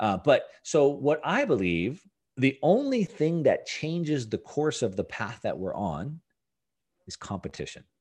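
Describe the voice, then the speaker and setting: The background stays quiet. A man talks fairly slowly. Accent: Californian. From Southern California. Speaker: finance and Bitcoin commentator. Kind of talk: interview.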